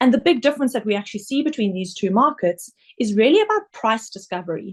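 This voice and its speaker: Speaking at a very fast pace, a woman with a South African accent has a medium pitch and a somewhat breathy voice. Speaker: investment director. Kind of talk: webinar presentation. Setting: online webinar.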